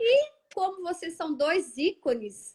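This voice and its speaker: This woman has a Minas Gerais accent. Her intonation is lively. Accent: Minas Gerais (mineiro). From Minas Gerais, Brazil. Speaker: live show host, condominium law. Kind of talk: livestream host introducing guests. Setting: online livestream.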